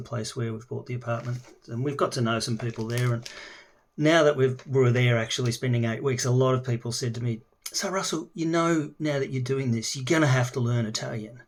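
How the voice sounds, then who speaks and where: With an Australian accent, a man speaks at a fairly quick pace in a somewhat breathy voice. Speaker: language learner. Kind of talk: casual video introduction. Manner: halting, many fillers.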